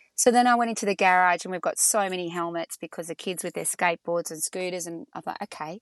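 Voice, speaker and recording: In a dry, close sound with no echo and a quiet background, a woman talks very fast at a medium pitch with ordinary pitch variation. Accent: Australian. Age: 50s. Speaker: entrepreneur. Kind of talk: casual interview.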